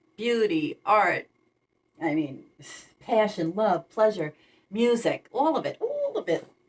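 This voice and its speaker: A woman mumbles as she speaks. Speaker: tarot reader. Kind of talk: tarot reading. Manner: fast; mumbling.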